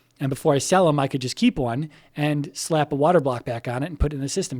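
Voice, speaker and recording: Dry and close with no echo, a man's fairly high-pitched voice moves at a very fast pace with ordinary pitch variation. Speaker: gaming vlogger. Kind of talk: casual vlog. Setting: kitchen. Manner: occasional slurring.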